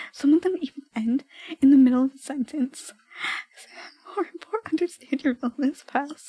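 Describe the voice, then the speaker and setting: Soft-spoken and high-pitched, a woman talks at a moderate pace with ordinary pitch variation in a dry, close sound with no echo. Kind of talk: casual chatting to stream viewers about her old writing.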